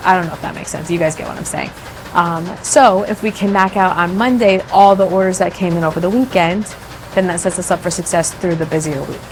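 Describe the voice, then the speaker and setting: Very fast speech from a woman against noticeable background noise. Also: medium pitch for a woman, ordinary pitch variation. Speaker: small business owner. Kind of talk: casual vlog talk to camera.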